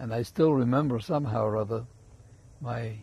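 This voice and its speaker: At a fairly slow pace, a man speaks at a medium pitch. His tone is dark and mellow, and somewhat breathy. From Germany, Munich. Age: 80s+. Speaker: rabbi. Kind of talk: interview.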